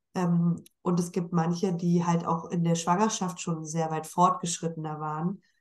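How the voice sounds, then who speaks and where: A woman talks at a fairly slow pace in a fairly low, flat monotone, with hardly any pauses. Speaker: podcast host. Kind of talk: casual interview.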